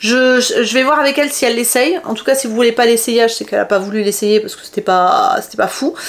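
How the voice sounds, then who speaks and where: Over noticeable background noise, a woman rushes along at a very fast pace in an animated tone, her high pitch showing ordinary variation and her loudness swinging greatly. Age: 40s. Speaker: fashion haul vlogger. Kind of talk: product review chat.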